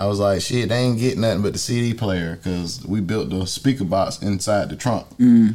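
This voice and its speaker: A man with an American accent talks at a fairly quick pace. His fairly low voice has a dark, mellow tone and ordinary pitch variation. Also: hardly any pauses. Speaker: podcast host. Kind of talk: casual chat. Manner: animated, profane.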